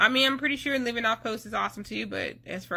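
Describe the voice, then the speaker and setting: A woman's bright, sharp voice with vocal fry, lively intonation and a fairly quick pace. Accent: North Carolina. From US South, North Carolina. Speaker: army spouse vlogger. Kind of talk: casual vlog talk.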